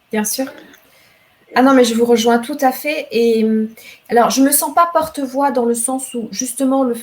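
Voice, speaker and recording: With ordinary pitch variation, a woman talks fairly slowly. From Rwanda. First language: Kinyarwanda (speaking French). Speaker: novelist and poet. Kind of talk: literary interview.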